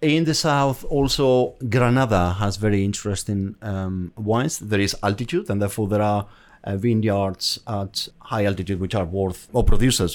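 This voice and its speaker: With a Spanish accent, a man talks at a moderate pace in a fairly low pitch. Pitch variation is ordinary, and the recording is very clean with a silent background. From Basque Country, Spain. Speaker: account manager. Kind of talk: casual interview chat.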